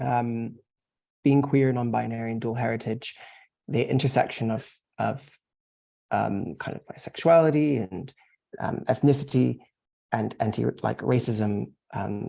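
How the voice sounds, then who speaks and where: Long, frequent pauses mark the speech of a man with an American accent and a medium pitch. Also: ordinary pitch variation, fairly slow pace. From US South. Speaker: panellist. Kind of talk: panel discussion. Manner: halting, many fillers.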